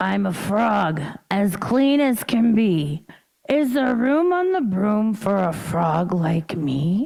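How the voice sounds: Using a put-on character voice, a woman sounds croaky at a medium pitch. She speaks at a very slow pace.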